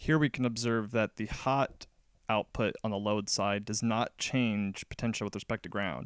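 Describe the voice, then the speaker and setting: The man's voice sits at a fairly low pitch, recorded with a dry, close sound and no echo. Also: moderate pace, very clean recording, silent background. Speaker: electronics hobbyist, recent graduate. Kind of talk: technical explanation over pictures. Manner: monotone.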